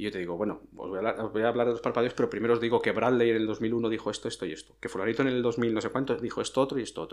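This man talks at a very fast pace with hardly any pauses. His pitch sits in the medium range and his intonation stays fairly even. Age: 40s. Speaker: police officer and nonverbal communication educator. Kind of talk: interview.

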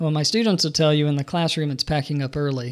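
A man with an Alabama accent speaks at a fairly high pitch. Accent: Southern US (Alabama). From US South, Birmingham, Alabama. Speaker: professor of religion. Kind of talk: interview. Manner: hesitant, many fillers.

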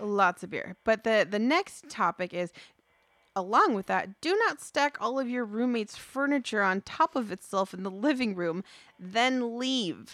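Using an ordinary speaking voice, a woman talks at a fairly slow pace with lively intonation and a fairly high pitch. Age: 30s. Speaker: podcast co-host. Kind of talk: casual chat.

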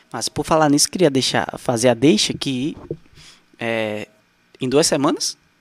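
A man's medium-pitched voice at a fairly slow pace, with ordinary pitch variation, long and frequent pauses, and music in the background. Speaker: podcast host. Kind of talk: casual chat. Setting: studio.

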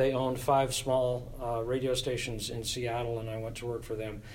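With audible room echo, a man talks at a moderate pace and medium pitch in a monotone, flat intonation. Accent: American. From US Pacific Northwest (Tacoma, Washington). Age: 70s. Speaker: church choir director. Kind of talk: casual interview.

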